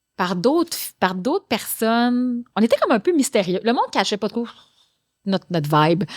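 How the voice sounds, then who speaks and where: Her tone animated and her pitch swinging very widely, a woman speaks with a dry, close sound and no echo. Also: fairly high pitch for a woman, moderate pace, very clean recording, silent background. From Quebec, Gaspésie (Maria). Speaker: actress and singer-songwriter. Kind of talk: casual interview.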